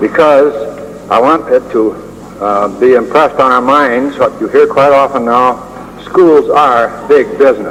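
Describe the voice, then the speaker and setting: Speaking at a fairly slow pace in a fairly high pitch, a man uses ordinary pitch variation as noticeable background noise goes on. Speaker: former teacher. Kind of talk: oral history talk. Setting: 1976 recording. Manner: hesitant, frequent fillers.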